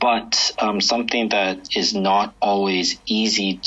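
A man's fairly slow delivery comes through with clearly audible background noise. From Vancouver, Canada. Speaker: ultimate frisbee team captain. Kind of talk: interview.

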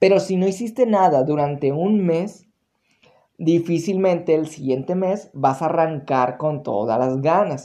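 A man with a fairly high voice speaks at a fairly slow pace. His tone is dark and mellow, with ordinary pitch variation. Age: 20s. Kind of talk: solo motivational monologue to camera.

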